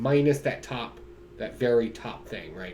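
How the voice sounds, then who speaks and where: A man talks in an animated tone over noticeable background noise, with audible room echo. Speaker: comic book reviewer. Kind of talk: casual solo video review. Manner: slurring words today; animated, casual.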